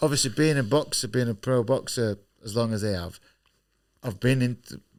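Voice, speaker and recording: A man at medium pitch and a fairly quick pace, with ordinary pitch variation, on a very clean recording with a silent background. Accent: Yorkshire. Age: 30s. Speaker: professional boxer. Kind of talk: casual chat.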